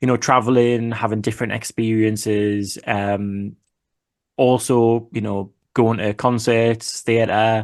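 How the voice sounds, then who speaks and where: A man at a medium pitch with monotone, flat intonation and a very slow pace, in a quiet background. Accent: Geordie. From northeast England, Newcastle. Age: 30s. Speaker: finance YouTuber. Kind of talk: casual chat.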